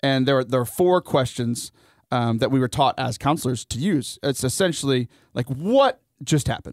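A man with an unremarkable speaking voice, medium pitch, ordinary pitch variation and a moderate pace, in a dry, close sound with no echo. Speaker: youth camp leader. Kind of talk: casual chat. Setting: radio studio. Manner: joking.

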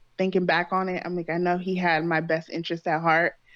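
A woman talks at a fairly quick pace, the background around her quiet. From California. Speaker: host's girlfriend, first-time podcast guest. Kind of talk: casual chat. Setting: Skype call.

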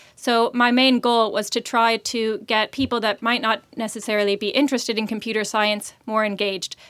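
At a fairly high pitch, a woman with an American accent talks at a fairly quick pace with hardly any pauses and monotone, flat intonation, in a very clean recording with a silent background. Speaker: startup founder, CEO. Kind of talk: interview conversation.

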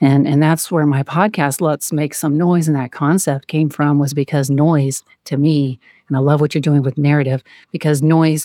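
A soft-spoken voice comes at a moderate pace. The sound is dry and close with no echo, in a very clean recording with a silent background. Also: woman. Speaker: guest sharing her life story. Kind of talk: casual interview, personal storytelling.

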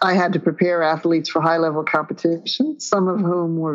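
In a quiet background, a woman with an unremarkable speaking voice talks at a fairly low pitch. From Newfoundland, Canada. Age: 60s. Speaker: professor of physical education. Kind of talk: interview conversation.

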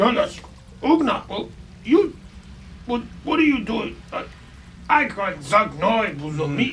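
A put-on, guttural character voice at a fairly high pitch swings very widely in pitch, moving at a fairly slow pace with long, frequent pauses over clear background noise. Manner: slow, dumbed down, broken speech.

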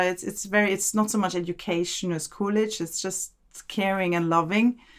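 A woman speaks with a German accent. Her intonation is monotone and flat. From Austria, Vienna. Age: 40s. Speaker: immigrant interviewee. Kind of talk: casual interview.

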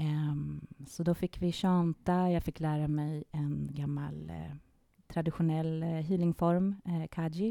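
On a very clean recording with no sound behind her, a woman speaks at a fairly slow pace. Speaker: classically trained singer and sound healer. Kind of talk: conversational podcast interview. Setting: studio with microphones.

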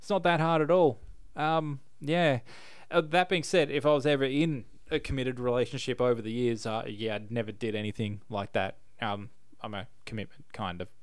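Here a man speaks at medium pitch with an Australian accent. The recording is very clean, with a silent background. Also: lively intonation, moderate pace. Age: 30s. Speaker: podcast host. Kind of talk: casual chat.

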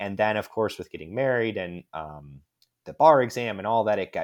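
A man with an American accent talks at a fairly quick pace in a fairly low voice with lively intonation. His is an unremarkable speaking voice, on a very clean recording with a silent background. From US Midwest (West Chicago, Illinois). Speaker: lawyer and author. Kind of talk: casual interview.

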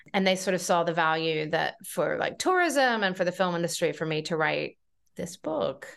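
Against a quiet background, a woman speaks with an American accent in an unremarkable speaking voice. Her pace is moderate and her pitch variation ordinary. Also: fairly low pitch for a woman. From North Carolina, US South. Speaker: journalist and film festival consultant. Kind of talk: interview.

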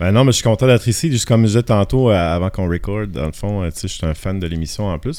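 Talking very fast, a man with a fairly low pitch and a dark, mellow tone shows ordinary pitch variation. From Acadian Peninsula, northern New Brunswick (Shippagan). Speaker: photographer. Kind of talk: casual chat.

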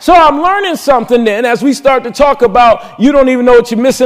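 The delivery is very fast. Pitch varies in an ordinary way. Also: man, hardly any pauses. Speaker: pastor. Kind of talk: impassioned sermon, building testimony about escaping the devil's plans. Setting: church. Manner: fervent, call-and-response preaching that prods the congregation; rising, emphatic delivery with repetition and exclamations.

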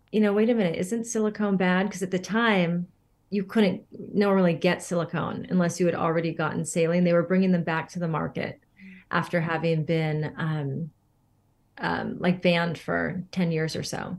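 Against a quiet background, a woman with a fairly low pitch talks in a normal speaking voice at a moderate pace with ordinary pitch variation. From Northern California. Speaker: holistic beauty coach. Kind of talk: interview.

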